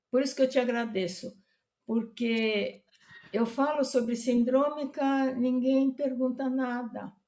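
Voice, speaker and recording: Speaking at a very slow pace, a woman with a high pitch keeps her intonation fairly even in a dark, mellow tone. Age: 80s+. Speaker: retired veterinary professor. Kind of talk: interview. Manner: halting.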